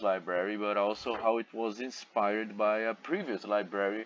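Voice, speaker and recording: Speaking with a non-native accent, a man keeps a fairly low pitch, fairly even intonation and a moderate pace. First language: not English. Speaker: gamer, content creator. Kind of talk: gameplay commentary. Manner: halting.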